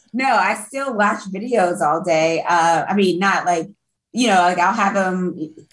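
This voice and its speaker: In an American accent, a woman talks at a fairly slow pace with ordinary pitch variation and very even loudness. The room echo is audible. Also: medium pitch for a woman. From Brooklyn, New York, later Florida. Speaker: music industry event producer. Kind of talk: casual chat.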